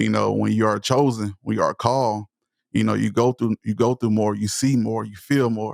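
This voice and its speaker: A man with a Southern US accent and a passionate tone, in a very clean recording with a silent background and a dry, close sound with no echo. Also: moderate pace. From East Texas, US South. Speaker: motivational speaker and voice-over creator. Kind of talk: podcast interview.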